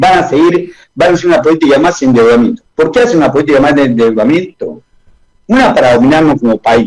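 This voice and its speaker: With an Argentine accent, a man talks at a very fast pace in a fairly high pitch, his intonation lively and his loudness very even. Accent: Argentine Spanish (voseo). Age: 70s. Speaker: economist. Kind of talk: radio interview.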